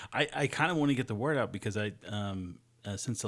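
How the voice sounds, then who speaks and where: On a very clean recording with a silent background, a man speaks in a fairly low voice with an American accent. He has a plain, everyday voice. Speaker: podcast host. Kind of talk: casual interview chat.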